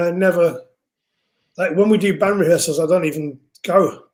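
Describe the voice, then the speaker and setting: A man's high-pitched voice at a moderate pace. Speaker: music producer and singer. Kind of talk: casual interview chat. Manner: loud speaking voice; animated.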